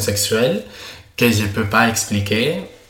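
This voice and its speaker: His pitch variation is ordinary. This man's voice sits fairly low. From Spain. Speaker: podcast guest. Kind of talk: casual chat. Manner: halting.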